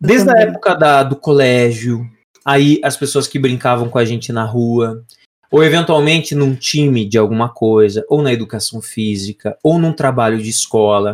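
Speaking in a normal speaking voice, a man keeps a medium pitch and a moderate pace. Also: ordinary pitch variation. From Brazil, Paraná (Lapa). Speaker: podcast co-host. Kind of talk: casual chat.

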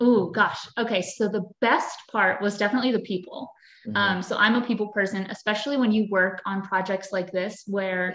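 A woman with an American accent and a normal speaking voice talks at a fairly quick pace, with a medium pitch and fairly even intonation. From US, Pennsylvania. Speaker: actress. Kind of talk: interview. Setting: video call.

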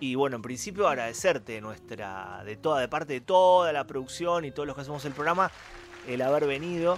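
A man's fairly quick, fairly high voice with lively intonation. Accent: Rioplatense. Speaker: radio host. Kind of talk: casual chat. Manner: animated.

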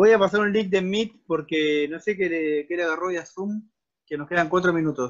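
With a Rioplatense accent, a man speaks at a fairly quick pace in a high pitch with ordinary pitch variation. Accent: Argentine Spanish (rioplatense). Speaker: discussion group moderator. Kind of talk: casual discussion. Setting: video call.

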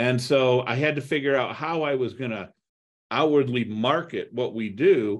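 A man with an American accent speaks at a moderate pace in a plain, everyday voice. His medium pitch shows ordinary variation. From US Midwest (Toledo, Ohio). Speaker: real estate investor. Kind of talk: podcast interview.

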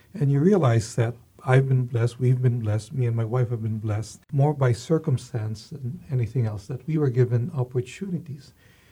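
Fairly quick, with hardly any pauses, a man speaks at a medium pitch with ordinary pitch variation in a somewhat breathy voice with a dark, mellow tone. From Philippines. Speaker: university president. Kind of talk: interview.

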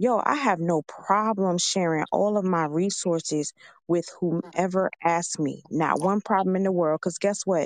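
A woman with an ordinary speaking voice talks at a fairly slow pace with ordinary pitch variation, and the sound is dry and close with no echo. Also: fairly low pitch for a woman, very even loudness. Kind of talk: casual chat.

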